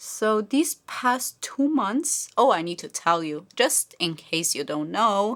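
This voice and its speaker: A woman with a Slovenian accent speaks at a fairly slow pace. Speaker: beauty vlogger. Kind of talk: casual chat while doing makeup.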